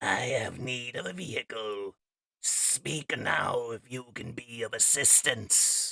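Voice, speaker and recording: A man's put-on character voice, raspy and medium in pitch, at a fairly slow pace. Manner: commanding, sinister.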